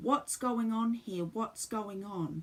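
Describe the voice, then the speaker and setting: This female-sounding voice is a put-on character voice at a fairly high pitch for a woman. It comes across as shrill. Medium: read story. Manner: shrieking, hysterical.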